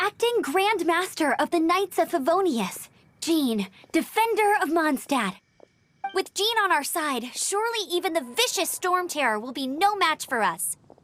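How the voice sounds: Using a cartoonish character voice, a woman speaks fairly slowly at an extremely high pitch, with big pitch swings and a fairly bright tone.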